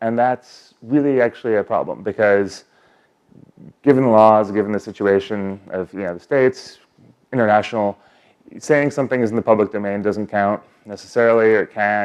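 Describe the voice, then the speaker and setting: Fairly even intonation marks this man's speech. His pitch is fairly low. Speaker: software engineer, conference speaker. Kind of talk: conference talk. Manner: fast.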